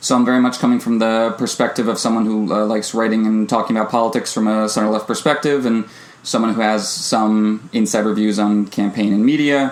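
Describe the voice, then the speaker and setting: A man's medium-pitched voice with an American accent, fairly quick pace, fairly even intonation, very even loudness and noticeable background noise. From United States. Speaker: podcast co-host. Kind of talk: casual podcast chat.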